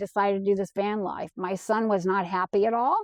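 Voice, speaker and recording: A plain, everyday voice: a woman at a medium pitch with fairly even intonation, the sound dry and close with no echo. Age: 60s. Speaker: van life vlogger. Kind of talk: casual monologue.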